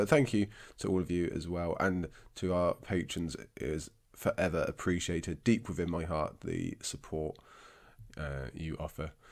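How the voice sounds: A raspy, slightly mellow voice moves at a moderate pace with ordinary pitch variation. The recording is very clean, with a silent background. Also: man.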